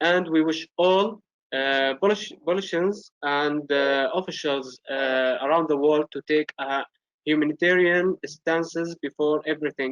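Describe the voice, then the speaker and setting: Recorded dry and close with no echo, a man with an Arabic accent speaks at a moderate pace in a fairly high voice with fairly even intonation and long, frequent pauses. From Syria. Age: 20s. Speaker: youth representative. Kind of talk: prepared speech. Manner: halting.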